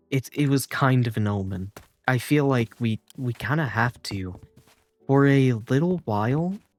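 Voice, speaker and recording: Music plays in the background as a man speaks at a medium pitch and a fairly slow pace. His pitch variation is ordinary, and the sound is dry and close with no echo. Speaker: gaming video creator. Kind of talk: casual gameplay commentary, ASMR. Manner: halting, self-interrupting.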